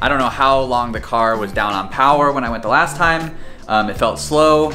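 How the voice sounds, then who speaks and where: The voice moves at a moderate pace, with faint music in the background. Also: man. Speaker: car hobbyist vlogger. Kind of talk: casual vlog chat. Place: garage.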